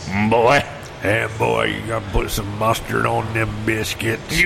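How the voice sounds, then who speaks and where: Over loud background noise, a man uses a put-on character voice at a fairly slow pace. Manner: yelling.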